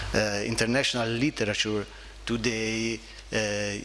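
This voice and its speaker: Amid noticeable background noise, a man speaks at a moderate pace and medium pitch in a monotone, flat delivery. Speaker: seminar moderator. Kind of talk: Q&A question. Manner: halting.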